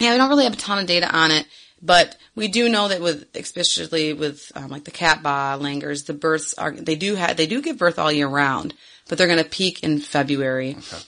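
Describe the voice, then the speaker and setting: A woman with a Michigan accent speaks at a fairly quick pace in a very deep, low pitch with a bright, sharp tone. Her intonation is lively, and the background is quiet. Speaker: podcast co-host, former zoo worker. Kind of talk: casual chat.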